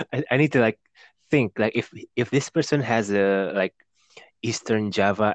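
At a fairly slow pace, a man with an Indonesian accent talks in a fairly low pitch with ordinary pitch variation. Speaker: podcast host. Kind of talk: casual chat.

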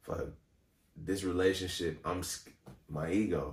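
Breathing somewhat audibly, a man speaks at a fairly slow pace. His pitch is very deep and low. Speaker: singer and actor. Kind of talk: casual chat.

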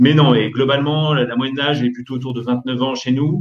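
A man talks at a fairly quick pace and medium pitch. It is an unremarkable speaking voice. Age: 30s. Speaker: startup co-founder and CEO. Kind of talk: interview.

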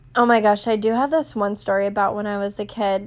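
A woman with an American accent at a moderate pace, against a quiet background. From US South, North Carolina (Raleigh). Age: 20s. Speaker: podcast host. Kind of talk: casual monologue. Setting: home recording on phone. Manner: talkative, loud.

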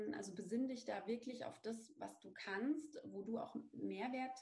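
A woman's fairly high-pitched voice with vocal fry, in a room with audible echo. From Bavaria, Lower Franconia (near Aschaffenburg). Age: 30s. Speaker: brand strategy consultant, business owner. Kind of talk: interview.

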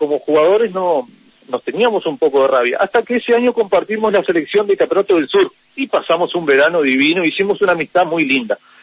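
With lively intonation, the man moves along at a fairly quick clip. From Uruguay, San José. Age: 30s. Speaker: football referee. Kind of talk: interview. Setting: phone call. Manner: halting, many repetitions. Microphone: connection cutting in and out.

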